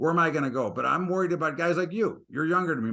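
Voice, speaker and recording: A man with an American accent, fairly high in pitch, bright and sharp in tone, animated, with vocal fry. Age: 60s. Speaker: market commentator. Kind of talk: interview.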